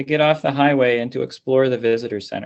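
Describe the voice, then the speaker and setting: In an American accent, a man with an unremarkable speaking voice talks at a moderate pace, with medium pitch and ordinary pitch variation. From Pittsburgh, Pennsylvania, US. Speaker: computer science professor. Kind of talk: conference lecture. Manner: formal.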